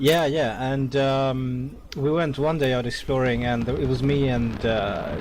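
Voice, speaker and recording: At a fairly slow pace with hardly any pauses, a man speaks at a medium pitch with fairly even intonation and very even loudness, amid audible room echo and noticeable background noise. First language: not English. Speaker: gaming community leader. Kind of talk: speech to online gaming community. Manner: hesitant, many fillers.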